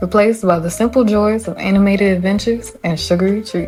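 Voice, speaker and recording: Music plays in the background as a woman with a Southern US accent speaks at a medium pitch with ordinary pitch variation. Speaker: gaming YouTuber. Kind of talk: scripted narration. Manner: calm, nostalgic.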